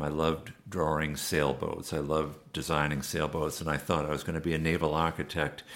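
A man with an American accent, a very deep, low pitch and a fairly quick pace. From Massachusetts, US. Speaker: bike designer and manufacturer. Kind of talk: interview. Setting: bike shop in London.

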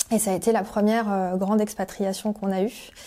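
At a moderate pace, a woman with a medium pitch and a dark, mellow tone speaks with fairly even intonation. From France (Paris area, La Rochelle). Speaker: career change coach. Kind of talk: interview testimony. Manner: hesitant, many fillers.

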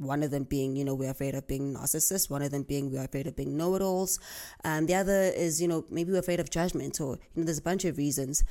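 The tone is dark and mellow, with ordinary pitch variation. The pace is very fast. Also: woman, very deep, low pitch for a woman. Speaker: podcast host. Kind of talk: casual monologue.

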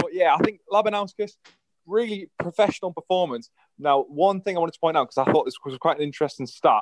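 A man with a British accent, high-pitched and very fast, with lively intonation and a dry, close sound free of echo. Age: 20s. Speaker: darts pundit. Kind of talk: casual chat.

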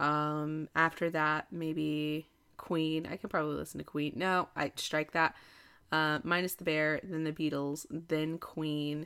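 A woman with an American accent speaks at a fairly slow pace with very deep, low pitch, a bright, sharp tone and monotone, flat intonation. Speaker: podcast host. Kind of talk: casual chat.

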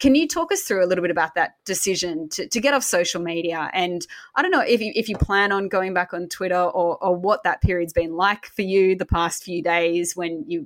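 Speaking at a fairly quick pace with hardly any pauses, a woman with an Australian accent holds a medium pitch. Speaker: podcast host and publisher. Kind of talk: casual chat and interview.

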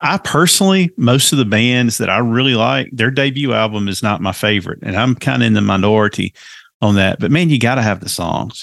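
With a Southern US accent, a man talks at a fairly quick pace, his lively intonation carrying some vocal fry. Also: medium pitch for a man. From US South. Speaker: podcast host guest. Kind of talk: casual chat.

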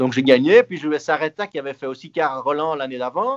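Speaking at a fairly quick pace, a man uses a fairly high pitch with very wide pitch swings. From Belgium. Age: 30s. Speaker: retired tennis player. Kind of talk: interview. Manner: halting.

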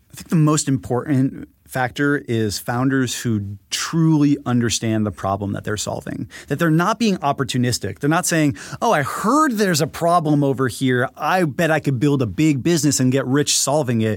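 Using a normal speaking voice, a man with a fairly high pitch talks at a moderate pace with hardly any pauses. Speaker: tech journalist and investor. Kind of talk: casual interview conversation. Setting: podcast conversation.

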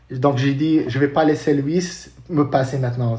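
A man's voice comes across somewhat breathy. His pitch varies an ordinary amount. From Morocco, Casablanca. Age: 30s. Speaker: paralympic triathlete. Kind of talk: interview. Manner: halting, many repetitions.

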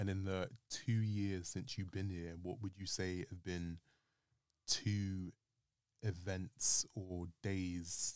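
Intonation stays fairly even in a London accent. The pace is very slow. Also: man. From North London, Islington. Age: 20s. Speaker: podcast guest. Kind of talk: casual chat.

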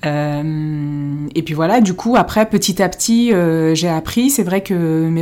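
A woman talks with a fairly low pitch and a dark, mellow tone. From France, Paris, Moroccan family. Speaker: podcast co-host. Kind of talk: casual chat.

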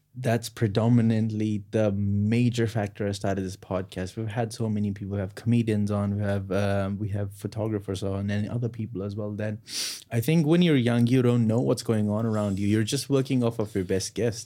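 This man's voice sits at a fairly low pitch with a dark, mellow tone, moving at a fairly quick pace with hardly any pauses and fairly even intonation. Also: very clean recording, silent background. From North India. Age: 20s. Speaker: podcast co-host. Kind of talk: casual chat. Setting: studio.

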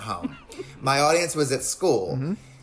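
A man with an American accent and a fairly high pitch speaks with lively intonation over noticeable background noise. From US South, North Carolina (Lincolnton). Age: 40s. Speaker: comedian and actor. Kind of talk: casual chat.

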